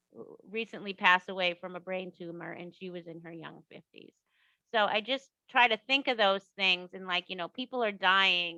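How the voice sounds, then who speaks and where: A woman's medium-pitched voice with a Boston accent, bright, sharp tone, ordinary pitch variation and big swings in loudness, at a moderate pace, in a dry, close sound with no echo and a quiet background. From Boston, US Northeast. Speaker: author. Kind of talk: casual interview. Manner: animated.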